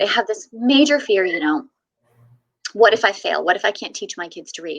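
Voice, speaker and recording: A woman's medium-pitched voice, bright and sharp in tone, with very wide pitch swings and a fairly quick pace. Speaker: homeschooling mom and blogger. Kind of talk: interview storytelling.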